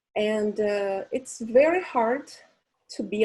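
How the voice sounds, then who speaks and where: A fairly high-pitched woman with a dark, mellow tone and a Portuguese accent. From Brazil. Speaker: psychologist and event host. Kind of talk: webinar hosting.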